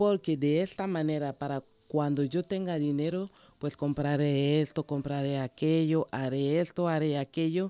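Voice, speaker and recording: On a very clean recording with a silent background and a dry, close sound without echo, a woman speaks at a fairly slow pace in a very deep, low, dark and mellow voice with fairly even intonation. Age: 30s. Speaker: radio talk show panelist. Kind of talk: casual discussion. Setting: radio studio. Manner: halting.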